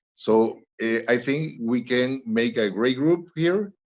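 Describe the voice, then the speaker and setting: A man with a Spanish accent, at a very slow pace. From Honduras. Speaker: webinar panelist. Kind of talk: panel discussion remarks. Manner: halting.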